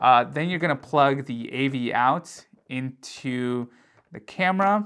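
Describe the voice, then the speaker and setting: The man's pitch shifts with ordinary variation as he talks. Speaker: tech youtuber. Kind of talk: tutorial. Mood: light, joking. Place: home room. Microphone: lapel.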